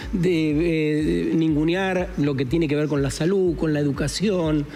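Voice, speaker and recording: Fairly slow, very even in loudness and fairly even in intonation, with audible room echo and noticeable background noise. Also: man, fairly high pitch for a man. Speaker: radio host. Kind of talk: casual chat.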